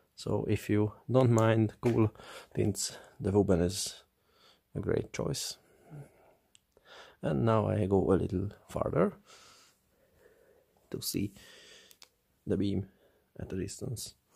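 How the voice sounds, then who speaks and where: Someone with a non-native accent speaks at a very slow pace, somewhat breathy, with ordinary pitch variation and long, frequent pauses. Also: man, fairly low pitch for a man. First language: not English. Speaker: flashlight reviewer. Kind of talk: product review.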